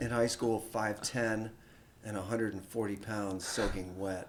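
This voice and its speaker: This man has a plain, everyday voice with an American accent. His pitch is medium and his pace moderate. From Vermont, US Northeast. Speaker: snack company founder. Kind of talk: casual interview. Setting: studio.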